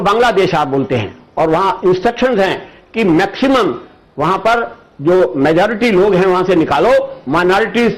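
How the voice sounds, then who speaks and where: The man's voice is high in pitch, with ordinary pitch variation. Noticeable background noise sits behind him. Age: 80s+. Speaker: political commentator. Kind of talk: interview.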